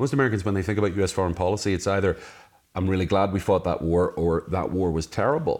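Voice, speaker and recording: This man talks at a very fast pace with a Northern Irish accent. His pitch is very deep and low, and his loudness stays very even. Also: ordinary pitch variation. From Northern Ireland, Belfast. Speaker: author. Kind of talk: interview. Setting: in person, same room.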